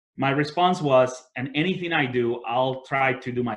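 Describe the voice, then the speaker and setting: Speaking with a Spanish accent, a man has a medium pitch. His pitch varies in an ordinary way. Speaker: entrepreneur and business leader. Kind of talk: webinar talk.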